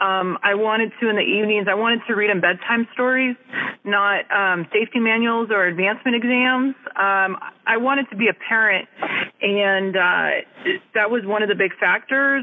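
A woman with an American accent speaks at a moderate pace and fairly high pitch, her intonation fairly even and her loudness very even, with noticeable background noise. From California Central Valley. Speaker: navy legalman, senior chief. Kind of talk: casual interview.

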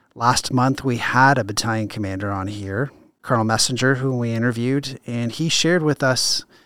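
Noticeable background noise sits behind a man talking. His pitch is medium, and his intonation fairly even. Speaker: army chaplain and podcast host. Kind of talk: interview.

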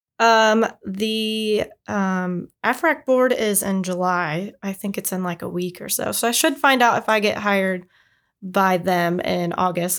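With an American accent, a woman uses an unremarkable speaking voice at medium pitch, with ordinary pitch variation and a fairly slow pace, on a very clean recording with a silent background. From Indiana. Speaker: Air Force Reserve member. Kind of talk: casual interview chat.

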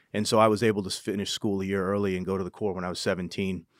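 In a very clean recording with a silent background, a man with an American accent speaks at a fairly low pitch. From New Hampshire and California, US. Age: 40s. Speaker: senior military enlisted leader. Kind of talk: interview conversation.

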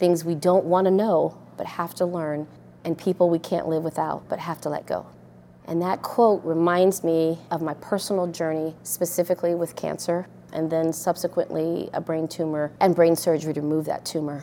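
Someone with an American accent and a dark, mellow tone talks at a moderate pace in monotone, flat intonation. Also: woman, fairly low pitch for a woman. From Colorado Springs, US. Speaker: air force officer. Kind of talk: testimony.

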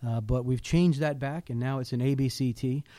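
Fairly even intonation in a man's dark, mellow tone. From moved around as army child, high school in Hawaii. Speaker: army colonel, garrison commander. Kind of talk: interview. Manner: hesitant, many fillers.

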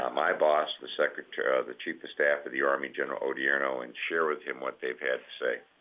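A man rushes through his words very fast while background noise is clearly heard. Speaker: senior army enlisted leader. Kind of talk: press roundtable Q&A.

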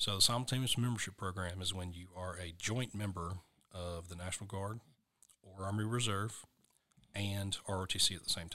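In an American accent, a man with a fairly low pitch and a bright, sharp tone talks at a moderate pace with fairly even intonation and big swings in loudness, on a very clean recording with a silent background. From US South, Western North Carolina. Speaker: army officer and college recruiter. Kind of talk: interview.

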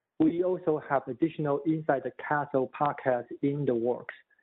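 A man speaks with a Chinese accent at a moderate pace. His pitch is fairly high. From Taipei, Taiwan. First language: Mandarin Chinese. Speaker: economist. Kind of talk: podcast interview.

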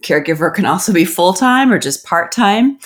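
A woman with an American accent speaks in an ordinary speaking voice at a fairly quick pace with lively intonation. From US Southwest. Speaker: podcast host, government program analyst. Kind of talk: conversational interview.

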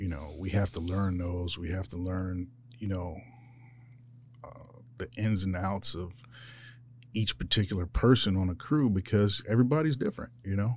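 With an American accent, a man with a very deep, low pitch and a somewhat breathy voice speaks at a moderate pace, taking long, frequent pauses. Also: ordinary pitch variation. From Philadelphia, US. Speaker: weapons operator, Marine veteran. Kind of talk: interview. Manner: casual, halting.

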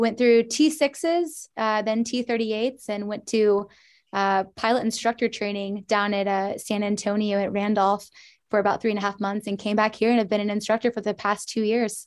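A woman with an American accent has a plain, everyday voice. She speaks at a moderate pace with fairly even intonation. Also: fairly high pitch for a woman. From US Midwest, Indianapolis, Indiana. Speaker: Air Force instructor pilot. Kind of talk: interview. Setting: video call.

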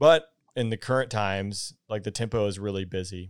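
In a very clean recording with a silent background, a man with a Southern US accent talks at a fairly low pitch with fairly even intonation. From US South, Georgia. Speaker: podcast host, former fighter pilot. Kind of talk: interview.

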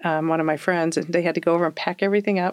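A woman with a West Coast accent speaks very fast in a fairly low pitch, her intonation flat and monotone. The recording is very clean, with a silent background. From Oregon, US Pacific Northwest. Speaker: army officer. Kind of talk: interview. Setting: studio.

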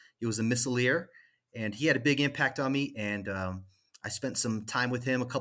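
A man with an American accent speaks in an ordinary speaking voice at a moderate pace, with ordinary pitch variation. The recording is very clean, with a silent background. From Colorado. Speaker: air force technical sergeant. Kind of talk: interview conversation.

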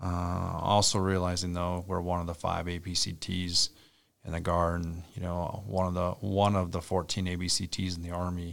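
On a very clean recording with a silent background, a man speaks with an Upper Midwest accent. His very deep, low voice holds a moderate pace and monotone, flat intonation. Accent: Upper Midwest (Minnesota). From central Minnesota. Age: 40s. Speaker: army brigade commander. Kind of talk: interview.

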